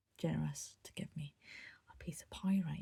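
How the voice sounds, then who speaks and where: A somewhat breathy woman's voice, fairly low in pitch, dark and mellow in tone, in a Scottish accent at a moderate pace. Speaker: crafter and vlogger. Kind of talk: casual show-and-tell. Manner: halting.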